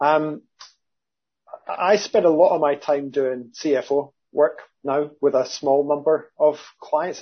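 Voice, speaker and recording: Fairly high-pitched for a man, this speaker talks in a Scottish accent with fairly even intonation. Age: 50s. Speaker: accountant and business founder. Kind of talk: casual interview chat.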